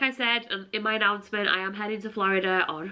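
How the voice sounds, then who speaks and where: This woman speaks in a Yorkshire accent. Her voice is fairly high with a bright, sharp tone. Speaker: travel vlogger and teacher. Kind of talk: casual vlog talk to camera. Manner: chatty, filler-heavy.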